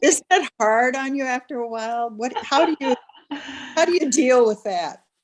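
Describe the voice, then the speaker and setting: A woman speaks with a Minnesotan accent. Her high voice moves in lively intonation. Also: moderate pace. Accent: Minnesota. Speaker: textile artist, audience member. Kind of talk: audience question. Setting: video call.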